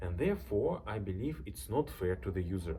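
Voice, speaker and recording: A man's very deep, low pitch with a dark, mellow tone and vocal fry, very wide pitch swings and a fairly slow pace. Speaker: software tool creator. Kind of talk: reading a script aloud.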